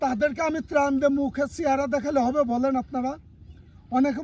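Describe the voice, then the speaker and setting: A man speaks at an extremely high pitch with a dark, mellow tone. His intonation stays fairly even. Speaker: content creator. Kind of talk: casual chat.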